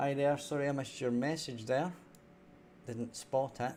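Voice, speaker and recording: A man with a Scottish accent and a dark, mellow tone. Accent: Scottish, toned down on stream. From Scotland. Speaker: indie game developer. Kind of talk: live-stream coding tutorial. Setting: live stream. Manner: clear, careful 'telephone voice'.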